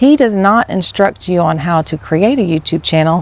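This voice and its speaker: A woman talks at a moderate pace in a medium pitch, with ordinary pitch variation. Noticeable background noise runs behind her. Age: 50s. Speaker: teacher and new vlogger. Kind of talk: casual vlog monologue. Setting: outdoors. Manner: soft-spoken; rambling, hesitant.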